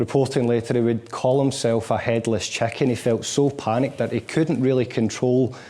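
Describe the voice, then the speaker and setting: A man speaks in a strong Scottish accent at a moderate pace and medium pitch. His intonation is monotone and flat, and his loudness stays very even. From Scotland, Glasgow. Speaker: motivational speaker. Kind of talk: lecture.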